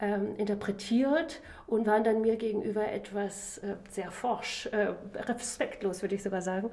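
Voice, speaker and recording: Fairly high in pitch, a woman uses an ordinary speaking voice. She speaks at a fairly slow pace with fairly even intonation. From Germany. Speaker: political science professor. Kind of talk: interview.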